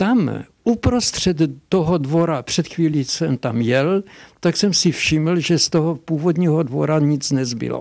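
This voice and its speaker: This man has an ordinary speaking voice, fairly high in pitch with ordinary variation, talking at a fairly slow pace with very even loudness in a very clean recording with a silent background. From Hošťálkovice, Silesia, Czech Republic. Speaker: dialectologist and professor. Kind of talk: interview answer.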